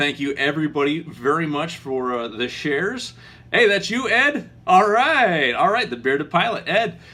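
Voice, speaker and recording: A man speaks with a bright, sharp tone. His pitch swings very widely. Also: fairly high pitch for a man, moderate pace. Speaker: aviation channel host, pilot. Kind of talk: casual live stream chat. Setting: live video stream. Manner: mumbling, halting with many fillers.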